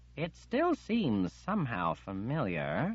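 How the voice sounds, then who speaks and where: A put-on character voice, spoken quietly. The pace is fairly slow. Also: man. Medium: read story. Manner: hushed, cautious.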